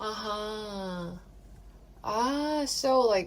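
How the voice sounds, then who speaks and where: Over noticeable background noise, a woman speaks with a Korean accent. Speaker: podcast co-host. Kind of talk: casual chat.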